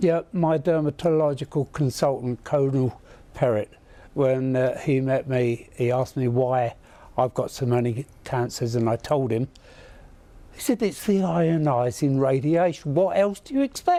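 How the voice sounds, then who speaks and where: A dark, mellow tone at a fairly slow pace, with ordinary pitch variation. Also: man, fairly high pitch for a man. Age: 80s+. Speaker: war veteran. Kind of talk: TV news interview.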